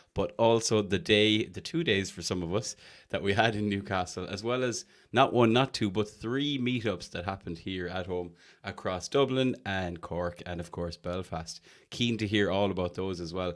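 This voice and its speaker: A man with an Irish accent speaks at a moderate pace and a fairly low pitch, with ordinary pitch variation. The recording is very clean, with a silent background. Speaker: podcast host. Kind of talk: casual chat.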